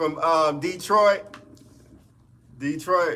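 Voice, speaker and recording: This man speaks at a high pitch and a very slow pace. His intonation stays fairly even. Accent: Mississippi. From US South, Mississippi Delta. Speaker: music producer and streamer. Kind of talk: live stream chat. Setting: home studio live stream.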